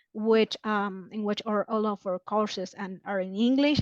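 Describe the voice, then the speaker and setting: A woman with a Spanish accent is recorded dry and close with no echo, against a quiet background. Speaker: marketing specialist. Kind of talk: podcast interview. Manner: halting, many fillers.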